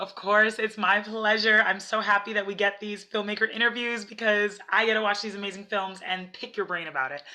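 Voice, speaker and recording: Speaking in a normal speaking voice at a medium pitch, a woman talks at a fairly quick pace with fairly even intonation and hardly any pauses. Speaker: film festival interviewer. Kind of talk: interview, friendly host questions.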